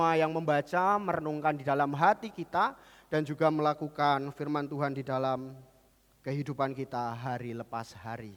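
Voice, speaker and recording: This is an ordinary speaking voice, and it keeps a moderate pace while its pitch varies an ordinary amount. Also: man, fairly high pitch for a man. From Central Java, Kudus. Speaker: pastor. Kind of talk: sermon. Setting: church.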